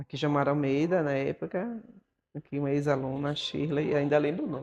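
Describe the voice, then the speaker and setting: Fairly quick speech from a woman with a very deep, low pitch and ordinary pitch variation. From Brazil, Bahia (Feira de Santana). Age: 60s. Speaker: dancer and choreographer. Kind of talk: documentary interview. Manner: conversational, frequent fillers.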